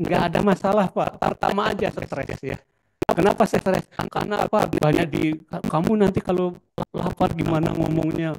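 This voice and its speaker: A man with a Javanese accent talks at a moderate pace in a high pitch with fairly even intonation, the sound dry and close with no echo. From Solo, Central Java. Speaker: artist and lecturer. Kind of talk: lecture. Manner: conversational, many fillers.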